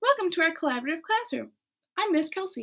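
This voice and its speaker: A woman puts on a squeaky character voice at an extremely high pitch, talking at a very fast pace. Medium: read story. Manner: warm, encouraging.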